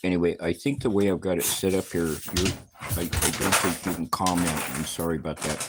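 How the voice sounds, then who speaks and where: A man with an American accent talks at a fairly quick pace, his pitch very deep and low. His pitch variation is ordinary, and there is noticeable background noise. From US West, Reno, Nevada. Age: 70s. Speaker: retired trucker, vlogger. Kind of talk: casual livestream monologue. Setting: in his cabin. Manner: rambling with fillers.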